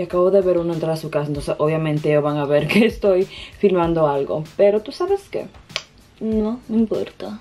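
Speaking at a fairly quick pace, a woman with a fairly low voice and a dark, mellow tone shows ordinary pitch variation.

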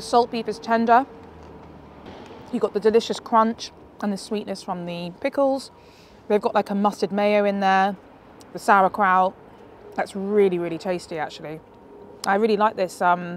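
A woman speaks at a moderate pace with long, frequent pauses. The sound is dry with no echo, with light background noise. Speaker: food vlogger. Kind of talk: casual vlog chat, food review. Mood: enthusiastic, pleased. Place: street. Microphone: lapel.

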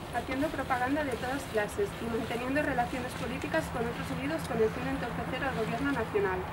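Loud background noise surrounds a woman's voice. Her pace is fairly quick and her pitch variation ordinary. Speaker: reader at a memorial ceremony. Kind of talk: formal reading aloud. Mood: solemn. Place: street. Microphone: camera far.

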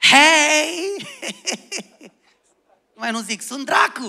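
Someone puts on a character voice at a high pitch. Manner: mocking, exaggerated.

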